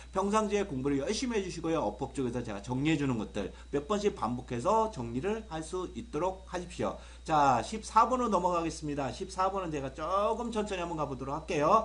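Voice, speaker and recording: Talking at a fairly quick pace with hardly any pauses, a man with a fairly high, animated voice, vocal fry and very wide pitch swings is heard in audible room echo. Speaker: English grammar teacher. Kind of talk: video lecture. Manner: fast.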